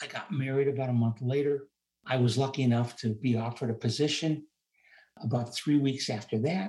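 A man with a fairly high pitch speaks. His voice is somewhat breathy. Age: 70s. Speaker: retired rehabilitation counselor and investor. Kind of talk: interview.

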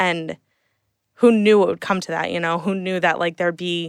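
A woman with an American accent speaks in a fairly low pitch with monotone, flat intonation, on a very clean recording with a silent background and a dry, close sound with no echo. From central New Jersey, Hunterdon County. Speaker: social media coordinator. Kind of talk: casual interview. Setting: studio, in person.

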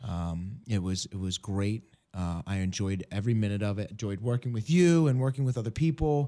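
Lively intonation carries this man's fairly low-pitched, dark, mellow voice at a fairly quick pace. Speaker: radio host. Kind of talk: radio ministry talk. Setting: radio studio.

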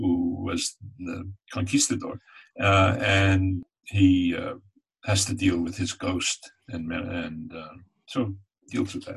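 With an American accent, a man of very deep, low pitch speaks very slowly and somewhat breathily, with fairly even intonation, big swings in loudness and long, frequent pauses. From upstate New York, Catskill Mountains. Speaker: screenwriter and novelist. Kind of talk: interview. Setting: video call. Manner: halting.

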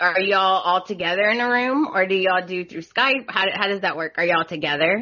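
A woman with a strong Southern US accent speaks with ordinary pitch variation. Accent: heavy Southern US. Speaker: podcast host. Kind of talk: casual, says "y'all".

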